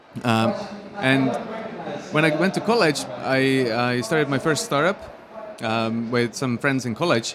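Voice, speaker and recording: Over noticeable background noise, a man with an Estonian accent speaks at a moderate pace with ordinary pitch variation. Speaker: software company founder. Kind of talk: interview. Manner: hesitant with many fillers.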